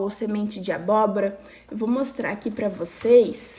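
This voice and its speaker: A woman speaks in an ordinary speaking voice, fairly high in pitch. Her pace is fairly slow, with ordinary pitch variation. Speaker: weight loss coach. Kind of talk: live stream talk. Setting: live stream.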